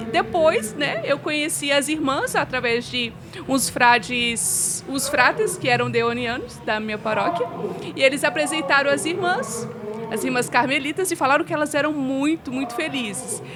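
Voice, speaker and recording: A woman speaks with a high pitch and lively intonation. Noticeable background noise runs under her voice. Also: moderate pace. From Brazil, Minas Gerais (Belo Horizonte). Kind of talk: interview testimony.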